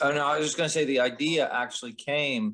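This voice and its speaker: This man speaks with a Philadelphia accent. His tone is bright and sharp. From Philadelphia suburbs, Pennsylvania. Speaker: podcast co-host, community organization co-founder. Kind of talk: casual podcast conversation.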